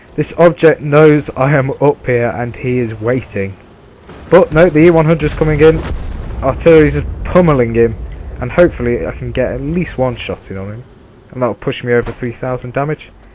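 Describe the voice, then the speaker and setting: Fairly quick delivery with ordinary pitch variation and noticeable background noise. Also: man, medium pitch for a man. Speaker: gaming video creator. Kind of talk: gameplay commentary.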